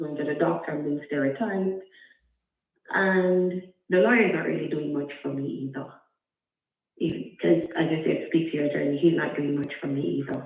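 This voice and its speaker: Soft-spoken and very deep in pitch, a woman speaks at a moderate pace with ordinary pitch variation and long, frequent pauses, with music in the background and audible room echo. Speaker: caller with a custody case. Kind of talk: call-in question. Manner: halting.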